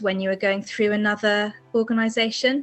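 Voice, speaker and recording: Monotone, flat intonation in an English accent, at a fairly quick pace, with noticeable background noise. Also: woman. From England. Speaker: fantasy author. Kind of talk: interview. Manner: hesitant, many fillers.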